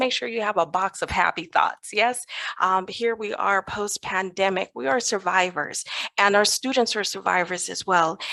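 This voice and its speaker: Speaking at a moderate pace with an American accent, a woman uses a medium pitch, ordinary pitch variation, a bright, sharp tone and some vocal fry. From US West Coast (Los Angeles, California). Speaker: educator and positive psychologist, conference speaker. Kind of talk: conference presentation.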